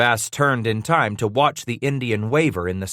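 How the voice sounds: A reading voice that sounds natural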